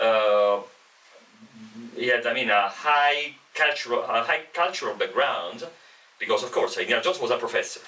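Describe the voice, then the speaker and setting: A man speaks with an Italian accent, leaving long, frequent pauses. Background noise is noticeable. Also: moderate pace. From Italy. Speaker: professor. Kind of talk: casual chat. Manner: halting.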